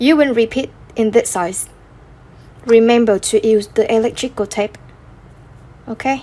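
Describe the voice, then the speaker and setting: A woman's fairly high voice at a moderate pace, with fairly even intonation and long, frequent pauses. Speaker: crochet tutorial creator. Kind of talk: tutorial. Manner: halting.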